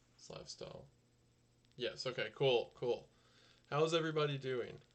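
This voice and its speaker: A man is speaking. He goes at a very fast pace. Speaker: YouTuber streaming live. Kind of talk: casual live stream chat. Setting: home live stream. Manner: quiet, soft-spoken.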